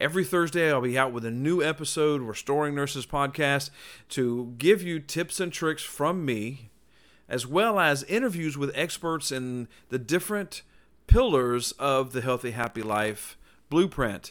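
Over a silent background on a very clean recording, a man with an unremarkable speaking voice talks at a moderate pace, his pitch fairly high with ordinary variation. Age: 40s. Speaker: nurse and podcast host. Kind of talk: solo podcast monologue.

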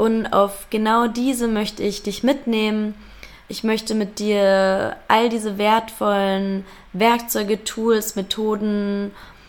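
Very slowly, a woman speaks in a fairly high register. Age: 20s. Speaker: podcast host. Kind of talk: solo podcast introduction. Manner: animated.

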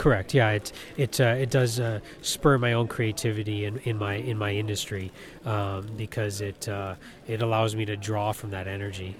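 At a moderate pace, a man talks in an unremarkable speaking voice, fairly low in pitch, with fairly even intonation. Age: 30s. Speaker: toy collector. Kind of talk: interview.

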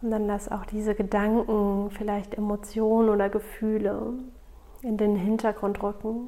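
A woman with a fairly high voice speaks at a fairly slow pace in a calm, soothing tone with monotone, flat intonation. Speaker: podcast host and meditation guide. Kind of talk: guided meditation. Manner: slow, calm and soothing, with long pauses; soft-spoken and gentle, intimate tone.

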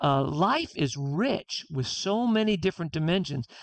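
In an American accent, a man speaks at a very slow pace, recorded with a dry, close sound, no echo and a quiet background. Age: 60s. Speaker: author. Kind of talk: interview. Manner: halting.

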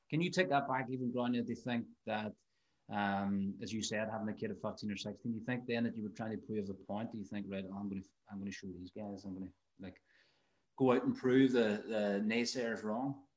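With a normal speaking voice, a man talks at a fairly quick pace, medium pitch and ordinary pitch variation. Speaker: podcast host. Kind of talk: casual interview.

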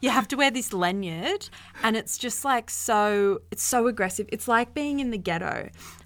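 With a New South Wales accent, a woman speaks at a moderate pace and a fairly high pitch, her pitch variation ordinary. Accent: Newcastle (Australian) accent, noticeable. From Newcastle, Australia. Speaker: podcast co-host. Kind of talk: casual chat.

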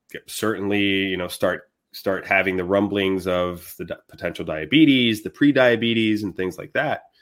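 A man with a normal speaking voice, fairly low in pitch, with ordinary pitch variation. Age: 40s. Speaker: dentist. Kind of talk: casual chat.

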